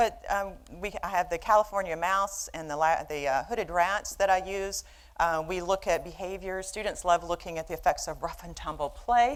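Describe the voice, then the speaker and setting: A woman with a Southern US accent speaks at a medium pitch and moderate pace, with ordinary pitch variation and big swings in loudness, on a very clean recording with a silent background. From US South, Birmingham, Alabama. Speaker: behavioral neuroscientist, professor. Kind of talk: lecture. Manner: halting, many fillers.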